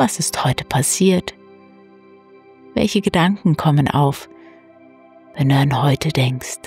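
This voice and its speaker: A soft-spoken woman with a very deep, low pitch and a calm tone, lively intonation at a very slow pace, long, frequent pauses, and music in the background. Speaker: meditation guide. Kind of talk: guided sleep meditation. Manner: calm, soft-spoken.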